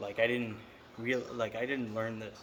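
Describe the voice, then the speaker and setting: Noticeable background noise is heard throughout. A man speaks in a medium pitch over it. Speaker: vlogger. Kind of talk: casual monologue. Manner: halting, stuttering; rambling, talks in circles.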